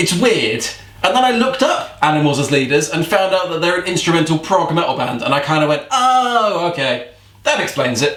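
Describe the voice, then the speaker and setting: A man talks at a fairly quick pace in a high pitch with lively intonation. Noticeable background noise and audible room echo surround him. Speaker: metal music vlogger. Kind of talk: casual music review vlog. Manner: fast; laid back.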